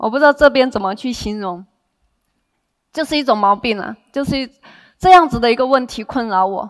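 With a quiet background, a woman speaks at a high pitch and a moderate pace, her intonation lively. Her pauses are long and frequent. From Henan, China; lives in Taiwan. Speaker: direct sales team leader. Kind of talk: motivational seminar talk. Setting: stage with audience. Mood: warm, smiling. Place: stage. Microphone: headset.

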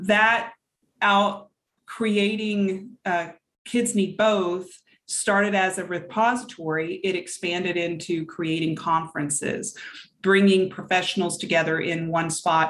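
A woman at a fairly slow pace, her intonation fairly even. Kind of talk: interview answer. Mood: earnest, engaged. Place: home room. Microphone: video call.

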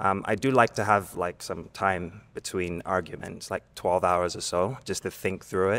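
Fairly even intonation from a man with a very deep, low voice, at a moderate pace. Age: 30s. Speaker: dating show contestant. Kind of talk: dating show conversation. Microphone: handheld.

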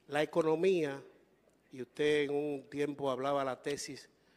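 A man at a moderate pace, his voice fairly high. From Dominican Republic. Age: 60s. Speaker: journalist; journalist asking question. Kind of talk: press question. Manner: formal. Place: hall. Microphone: handheld.

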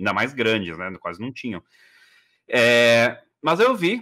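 A man talks at a medium pitch in a bright, sharp tone. The background is quiet. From Brazil, São Paulo. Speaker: communications executive; podcast guest. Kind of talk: interview; interview answer. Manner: hesitant, many fillers. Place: home room.

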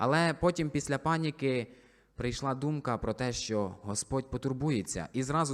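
On a very clean recording with a silent background, an unremarkable speaking voice proceeds at an average tempo with normal pitch variation. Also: man. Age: 20s. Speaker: soldier and church deacon. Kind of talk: testimony.

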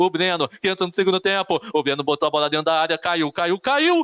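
A man's voice against a quiet background. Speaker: sports commentator. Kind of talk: live sports commentary. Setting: stadium, live broadcast. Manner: rapid-fire, repetitive play-by-play; animated, boastful, excited at goals. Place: home room. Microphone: phone near.

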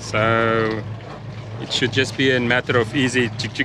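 A man's bright, sharp tone sits at a medium pitch with little pitch movement, moving at a fairly slow pace over faint background noise.

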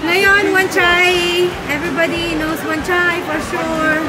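A woman speaking at a very slow pace, with music in the background. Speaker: vlogger filming while walking. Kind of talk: casual vlog chat. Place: street. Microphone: phone near.

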